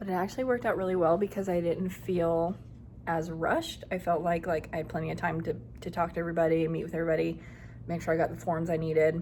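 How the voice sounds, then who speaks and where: The room gives off an audible echo. The speech comes very fast with fairly even intonation. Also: woman, fairly low pitch for a woman. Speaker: elementary school teacher vlogger. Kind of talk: casual vlog. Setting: classroom.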